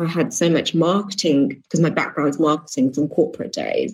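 Speaking at a fairly quick pace, a woman with a British accent sounds somewhat breathy. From England. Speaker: business coach for entrepreneurs. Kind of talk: interview. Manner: casual, with frequent fillers.

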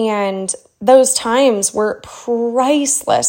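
Her tone animated, a woman talks with ordinary pitch variation. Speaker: money coach, podcast host. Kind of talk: casual chat.

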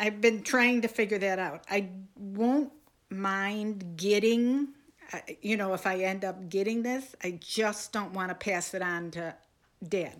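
A plain, everyday voice speaks at a fairly slow pace with ordinary pitch variation, in a very clean recording with a silent background. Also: woman, medium pitch for a woman. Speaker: mother of the hosts. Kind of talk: casual family chat.

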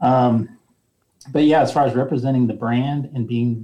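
A man with an American accent has a dark, mellow tone that is somewhat breathy. His pitch varies in an ordinary way. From rural central Nebraska. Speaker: retail company president. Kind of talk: interview.

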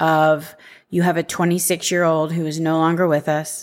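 Recorded very cleanly against a silent background, a woman speaks in a very deep, low, monotone voice with flat intonation. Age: 40s. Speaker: podcast host, life insurance agent. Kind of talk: solo podcast monologue.

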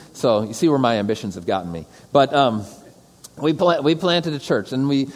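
A man with an American accent talks at a moderate pace over noticeable background noise. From Metro Detroit, Michigan. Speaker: pastor. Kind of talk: lecture. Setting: stage with audience.

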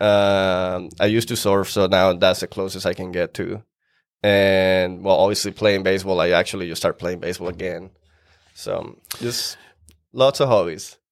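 A man with a Venezuelan accent, a very deep, low pitch and fairly even intonation, on a very clean recording with a silent background. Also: moderate pace. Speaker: real estate investor. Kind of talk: casual podcast interview.

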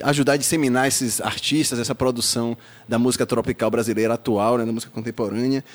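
Delivered at a very fast pace, a man's medium-pitched speech keeps fairly even intonation. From Salvador, Bahia, Brazil. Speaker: podcast host. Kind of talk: casual interview.

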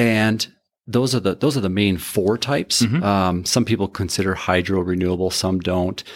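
A man with an Upper Midwest accent at a fairly low pitch, on a very clean recording with a silent background. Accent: Upper Midwest American. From North Dakota (Carrington). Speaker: electric utility industry expert. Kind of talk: interview.

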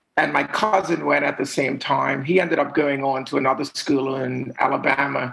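This is an ordinary speaking voice, a man's, at a moderate pace. His intonation is fairly even, with hardly any pauses. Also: fairly high pitch for a man. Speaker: music manager. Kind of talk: casual interview.

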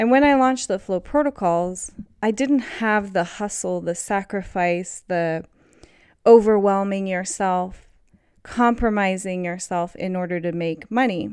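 In an ordinary speaking voice, a woman talks at a fairly slow pace with medium pitch and ordinary pitch variation, on a very clean recording with a silent background. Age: 30s. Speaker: podcast host. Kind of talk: solo monologue. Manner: laughs often.

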